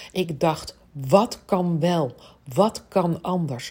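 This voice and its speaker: Very slow speech from a woman with ordinary pitch variation. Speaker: business coach. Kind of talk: solo podcast monologue. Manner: energetic; animated.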